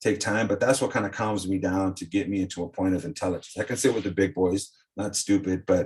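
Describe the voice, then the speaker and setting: Somewhat breathy, a man talks very fast in a fairly low pitch with ordinary pitch variation, on a very clean recording with a silent background. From South Texas. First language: Spanish. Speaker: former coaching client, ex-fighter. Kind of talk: casual interview chat. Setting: podcast interview.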